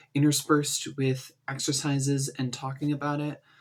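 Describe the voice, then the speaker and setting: A man's fairly high, somewhat breathy voice in a very clean recording with a silent background. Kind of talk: casual talk to camera.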